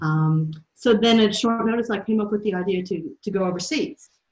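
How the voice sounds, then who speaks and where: A woman's lively intonation comes with a somewhat breathy quality. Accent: American. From US Midwest and South. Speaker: youth enterprise program leader. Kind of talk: interview. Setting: video call.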